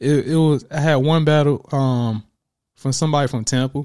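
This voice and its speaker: The man's tone is dark and mellow, his pace moderate. The recording is very clean with a silent background. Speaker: battle rapper and ghostwriter. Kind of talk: casual interview chat.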